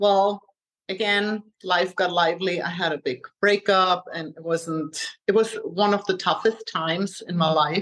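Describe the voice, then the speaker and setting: A woman talks in a German accent at a medium pitch. Her pace is fairly slow and her intonation fairly even. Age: 40s. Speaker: health coach. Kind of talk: interview.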